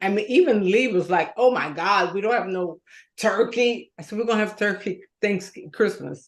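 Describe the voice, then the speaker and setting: With an unremarkable speaking voice, a woman speaks at a moderate pace with a fairly high pitch and ordinary pitch variation against a quiet background. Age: 60s. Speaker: co-host. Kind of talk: casual chat.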